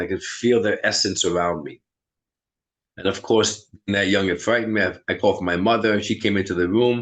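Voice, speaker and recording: A man with a strong New York accent at a very fast pace, fairly even in intonation, over a quiet background. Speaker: medium. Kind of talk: interview chat.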